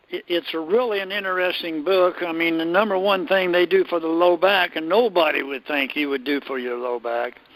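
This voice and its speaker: Against noticeable background noise, a man with a high voice and ordinary pitch variation talks at a fairly quick pace with hardly any pauses. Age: 80s+. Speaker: gym founder, strength coach. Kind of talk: interview. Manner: halting.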